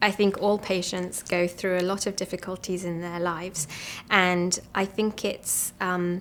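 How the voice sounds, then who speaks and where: A woman with an English accent speaks at a fairly slow pace in a medium pitch with monotone, flat intonation, recorded very cleanly against a silent background. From England. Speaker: physician. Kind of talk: interview. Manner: hesitant, many ums.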